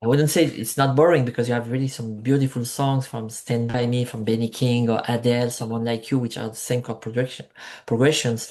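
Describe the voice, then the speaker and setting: A man with a French accent speaks at a fairly quick pace in a medium pitch. His intonation is monotone and flat, against a quiet background. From France, Marseille (south of France). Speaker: musician. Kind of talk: interview. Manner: halting, many fillers.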